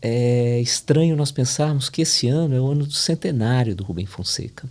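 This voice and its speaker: A man speaks at a fairly slow pace in a dark, mellow tone that is somewhat breathy, with ordinary pitch variation. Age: 60s. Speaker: literary critic. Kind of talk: podcast panel discussion.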